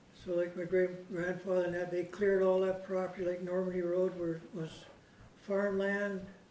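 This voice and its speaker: A man with a Canadian accent speaks in a high pitch with monotone, flat intonation at a moderate pace, with audible room echo. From Canada, Royal Oak area of Saanich, Vancouver Island. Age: 80s+. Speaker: local elder sharing family history. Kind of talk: storytelling talk to a small local audience. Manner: conversational, meandering with filler.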